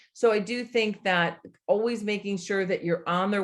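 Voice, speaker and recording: A plain, everyday voice from a woman at a fairly slow pace, with ordinary pitch variation. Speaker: college admissions consultant. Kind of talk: online workshop presentation.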